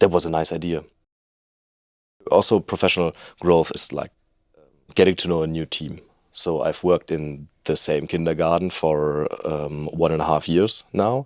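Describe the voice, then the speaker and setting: A man with a German accent speaks in a very deep, low voice at a moderate pace, pausing long and often, in a very clean recording with a silent background. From Germany. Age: 20s. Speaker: trainee youth worker. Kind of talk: interview. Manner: halting, many fillers.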